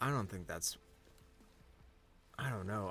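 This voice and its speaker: A man talks at a fairly low pitch. Behind him, music can be heard. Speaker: gaming video creator. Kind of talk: gameplay commentary.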